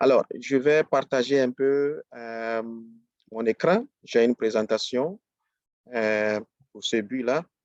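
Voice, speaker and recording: Speaking very slowly with an English accent, a man holds a medium pitch. His loudness swings widely, and he leaves long, frequent pauses. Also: ordinary pitch variation, dry, close sound with no echo. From Ghana. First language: English (speaking French). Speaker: business trainer. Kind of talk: webinar presentation. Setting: live online webinar. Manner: hesitant, many fillers.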